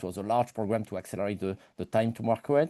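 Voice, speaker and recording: Against a quiet background, a man with a French accent speaks in a dark, mellow tone, the sound dry and close with no echo. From France. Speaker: engineer and innovation company director. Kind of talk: webinar self-introduction. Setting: online webinar.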